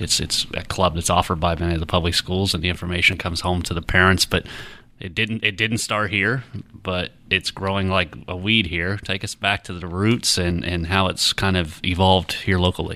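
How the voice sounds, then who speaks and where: Very deep and low, a man's voice moves at a fairly quick pace. The recording is very clean with a silent background. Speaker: podcast host and newspaper editor. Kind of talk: interview. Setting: studio.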